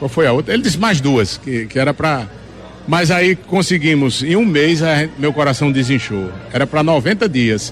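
A man with a fairly high voice speaks at a moderate pace with lively intonation. His loudness stays very even over noticeable background noise. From Northeast Brazil, Juazeiro do Norte, Ceará. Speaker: singer. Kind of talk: interview.

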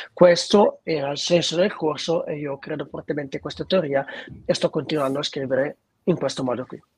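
A man's somewhat breathy, fairly high voice moves at a fairly quick pace, his pitch varying in an ordinary way. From northern Italy, Lombardy (Treviglio area). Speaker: singer-songwriter. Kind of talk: interview.

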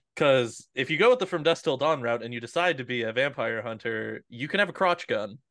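Against a quiet background, a man speaks at a fairly quick pace with hardly any pauses, his medium-pitched voice showing vocal fry and lively intonation. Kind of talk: casual chat.

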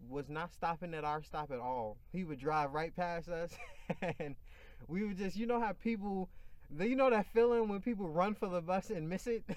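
A man's high voice with lively intonation at a moderate pace. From Chicago. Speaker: podcast host. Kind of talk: casual chat.

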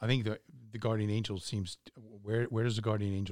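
On a very clean recording with a silent background, a man speaks at a moderate pace. He has an unremarkable speaking voice with a fairly low pitch. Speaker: podcast host. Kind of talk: casual religious discussion.

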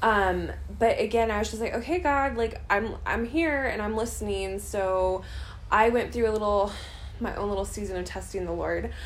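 A woman with an American accent talks at a moderate pace. There is audible room echo. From US Midwest, St. Louis, Missouri. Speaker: missionary and nurse. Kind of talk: interview. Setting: apartment, recorded at night.

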